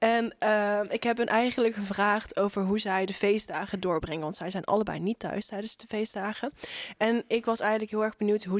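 A woman at medium pitch and moderate pace, in a normal speaking voice with a dry, close sound with no echo. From Zeeland, Netherlands. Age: young. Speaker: student magazine writer. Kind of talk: casual chat.

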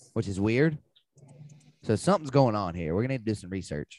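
Animated in tone, a man with a Southern US accent speaks in a fairly low pitch with lively intonation. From Alabama. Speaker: sports betting podcast host. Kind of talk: casual chat.

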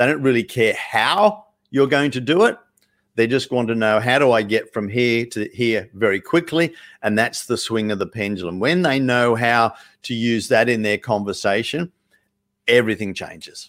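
The speaker has an Australian accent and ordinary pitch variation. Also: man, medium pitch for a man, moderate pace. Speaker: sales coach. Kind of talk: live webinar talk.

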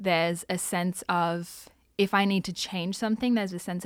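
A woman at medium pitch, fairly quick and fairly even in intonation, on a very clean recording with a silent background. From Australia (Sydney). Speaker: Salvation Army member. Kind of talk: testimony. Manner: casual.

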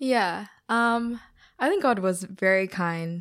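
Heard in a very clean recording with a silent background, a woman speaks at a very slow pace. Her voice is fairly low, with ordinary pitch variation. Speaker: graduate working in consulting. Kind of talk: casual chat.

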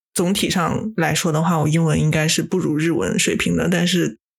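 Vocal fry at a moderate pace. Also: woman. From Japan. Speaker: podcast co-host. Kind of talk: casual chat.

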